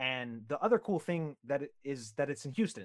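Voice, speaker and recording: Over a quiet background, a man speaks in a normal speaking voice at a moderate pace, his medium pitch showing ordinary variation. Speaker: podcast host. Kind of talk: casual conversational interview.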